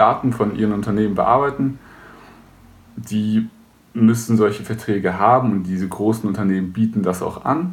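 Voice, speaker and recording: A man's unremarkable speaking voice, fairly low in pitch, at a moderate pace with ordinary pitch variation. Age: 20s. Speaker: web services entrepreneur. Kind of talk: tutorial.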